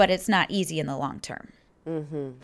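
The recording is very clean, and the background is silent. A woman talks in an American accent. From Detroit area, Michigan. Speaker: church member. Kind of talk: casual interview chat.

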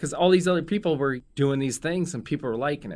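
Recorded very cleanly against a silent background, a man speaks with an American accent and a fairly high pitch. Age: 50s. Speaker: restaurant owner. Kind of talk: casual chat. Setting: studio.

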